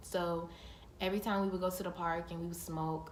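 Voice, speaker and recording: A woman speaks with a fairly low pitch and monotone, flat intonation. Noticeable background noise is present. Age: young. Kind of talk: casual storytime talk to camera.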